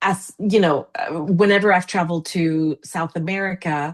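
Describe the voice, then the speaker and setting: A woman with a Spanish accent speaks at a fairly low pitch, recorded dry and close with no echo against a quiet background. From Argentina. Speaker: international fundraising consultant. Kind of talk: casual chat. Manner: animated.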